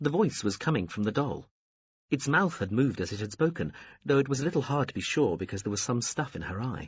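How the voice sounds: The reading voice sounds natural and carries lively intonation. Behind it, things are quiet.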